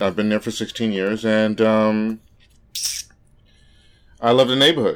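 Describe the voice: Fairly low pitch and moderate pace from a man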